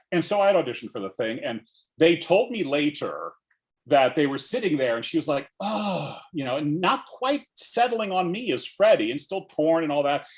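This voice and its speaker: A man's high-pitched voice with an American accent and very wide pitch swings. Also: moderate pace. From Alabama, USA. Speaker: actor, director and playwright. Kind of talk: interview answer.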